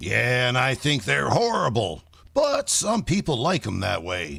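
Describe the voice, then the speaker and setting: In a raspy, put-on character voice, a man speaks at a medium pitch and a fairly slow pace. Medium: old radio play. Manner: curt, deadpan.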